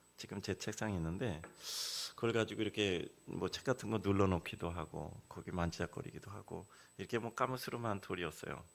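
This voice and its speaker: An unremarkable speaking voice, a man's with fairly low pitch, moves at a fairly quick pace with ordinary pitch variation on a very clean recording with a silent background. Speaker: guest preacher. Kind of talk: sermon. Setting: church. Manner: conversational storytelling with fillers.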